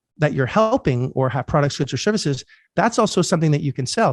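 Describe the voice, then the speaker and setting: Over a quiet background, a man speaks at a very fast pace, somewhat breathy and with lively intonation, in a dry, close sound with no echo. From Canada. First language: French. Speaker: podcast host, real estate investor. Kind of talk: podcast interview.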